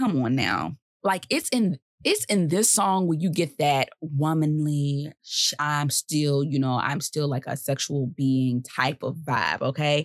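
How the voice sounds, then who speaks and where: A woman with a very deep, low pitch and ordinary pitch variation, fairly slow in pace, in a dry, close sound with no echo. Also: very even loudness. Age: 20s. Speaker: podcast host. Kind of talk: casual music-history monologue. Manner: animated.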